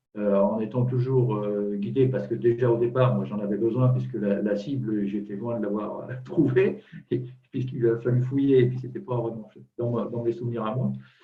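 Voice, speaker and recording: Fairly even intonation with audible room echo. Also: man, medium pitch for a man, moderate pace. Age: 60s. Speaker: client giving testimony. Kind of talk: testimony. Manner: halting, many repetitions.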